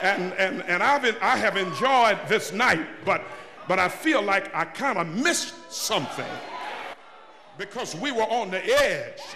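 A man uses a raised, projected voice at a fairly slow pace amid noticeable background noise. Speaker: preacher. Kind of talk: sermon. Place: church. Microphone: podium.

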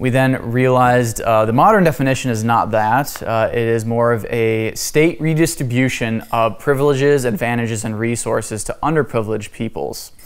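A man talks at a moderate pace with hardly any pauses. His pitch variation is ordinary. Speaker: class teacher. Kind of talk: lecture. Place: church.

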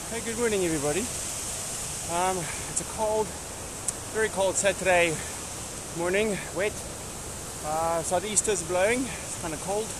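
A man with a high voice and ordinary pitch variation talks at a moderate pace, leaving long, frequent pauses. The sound is dry with no echo, though background noise is noticeable. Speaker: mountain biker vlogger. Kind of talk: casual vlog chat. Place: forest. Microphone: phone near.

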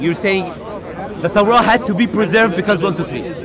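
Crowd noise sits behind a man talking very fast at a high pitch. His pitch variation is ordinary, and the sound is dry with no echo. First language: not English. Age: young. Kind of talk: heated debate. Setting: outdoors. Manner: halting. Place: street.

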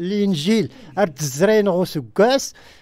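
Against a quiet background, a man speaks at a fairly slow pace in a high pitch with ordinary pitch variation and a dry sound with no echo. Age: 60s. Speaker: film extra, former soldier; radio guest. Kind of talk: radio interview. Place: studio.

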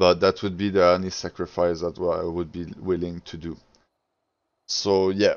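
A man's very deep, low voice with a non-native accent, flat and monotone, at a moderate pace with big swings in loudness. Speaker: video game player. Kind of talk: casual gaming tutorial talk.

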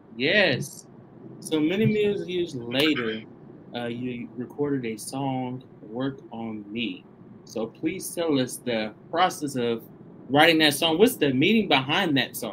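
In a Southern US accent, a man speaks at a very slow pace with lively intonation. Light background noise sits behind him. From Tennessee, US South. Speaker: online show host. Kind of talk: interview. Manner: animated. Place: studio.

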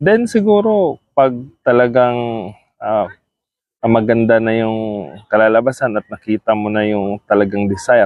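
At a fairly slow pace, a man talks with medium pitch. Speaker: vlogger. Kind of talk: casual vlog talk. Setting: outdoors in a park. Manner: soft-spoken; halting.

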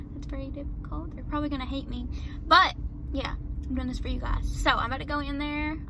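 A woman talks very fast in a dry, echo-free sound, with noticeable noise in the background. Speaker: vlogger. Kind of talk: casual vlog chat. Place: car. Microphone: phone near.

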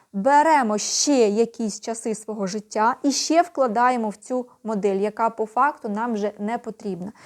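Speaking at a fairly slow pace with hardly any pauses, a woman with a fairly high pitch shows ordinary pitch variation. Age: 50s. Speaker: video blogger. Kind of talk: casual vlog monologue. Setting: at home at night.

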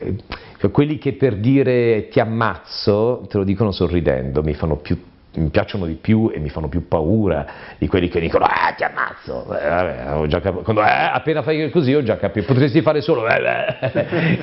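A man's fairly low voice with very wide pitch swings. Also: moderate pace. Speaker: voice actor. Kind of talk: interview answer. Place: home room.

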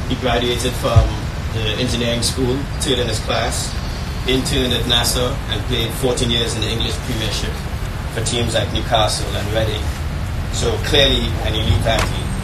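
Loud background noise is present as a man speaks. His pace is moderate, with long, frequent pauses. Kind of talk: speech. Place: tent.

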